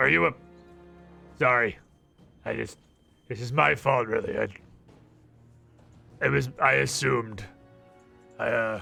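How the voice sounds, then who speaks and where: Using a put-on character voice, a raspy man speaks at a moderate pace and medium pitch, with long, frequent pauses and faint music in the background. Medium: actual play. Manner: flustered, stammering.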